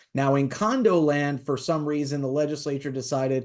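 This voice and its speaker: Against a quiet background, a man with a fairly high pitch talks at a fairly quick pace. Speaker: attorney instructor. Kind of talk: lecture. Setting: webinar. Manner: fast.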